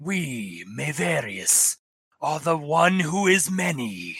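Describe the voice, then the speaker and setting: A put-on character voice, raspy, delivers its lines at a very slow pace. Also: man. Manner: menacing, defiant.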